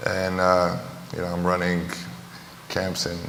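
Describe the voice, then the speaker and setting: A man's very deep, low voice in a flat monotone, with noticeable background noise and audible room echo. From Romania. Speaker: basketball trainer and entrepreneur. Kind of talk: panel discussion.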